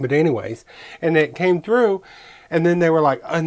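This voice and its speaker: Moderately paced speech comes through with noticeable background noise behind it. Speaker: card-making crafter. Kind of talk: crafting tutorial. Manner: casual, chatty.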